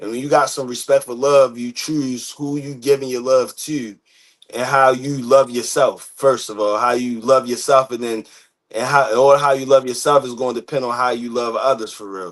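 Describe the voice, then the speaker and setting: An ordinary speaking voice from a man with an American accent, medium in pitch, with fairly even intonation, a moderate pace and big swings in loudness. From US, Baltimore, Maryland. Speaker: podcast host. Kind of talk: casual discussion.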